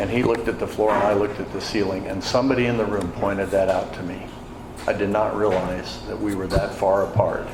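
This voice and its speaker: A man's very fast, flat, monotone delivery in an American accent, fairly low in pitch, with noticeable background noise and audible room echo. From Wisconsin, US Midwest. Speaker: AA speaker. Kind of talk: testimony. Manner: conversational, many fillers.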